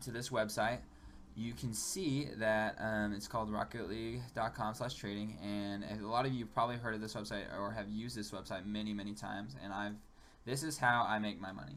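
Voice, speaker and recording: A man speaks at a fairly quick pace in a fairly low pitch with ordinary pitch variation. Audible room echo surrounds the voice. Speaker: gaming YouTuber. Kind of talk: gameplay tutorial commentary. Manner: fast; casual with many fillers (um, like).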